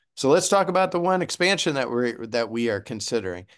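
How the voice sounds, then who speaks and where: The speaker is a man with a medium pitch. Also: quiet background. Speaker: transit agency executive. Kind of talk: webinar presentation. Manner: animated.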